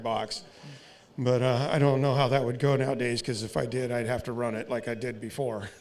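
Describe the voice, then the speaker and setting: A man with an American accent at a fairly quick pace, with audible echo from the room. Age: 60s. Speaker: race car driver and team owner. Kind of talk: interview.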